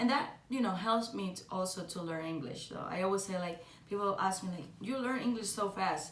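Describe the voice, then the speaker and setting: This woman speaks in a Cuban accent at a medium pitch, with ordinary pitch variation. Audible room echo surrounds her voice. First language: Spanish. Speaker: singer. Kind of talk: podcast monologue. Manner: halting, many fillers.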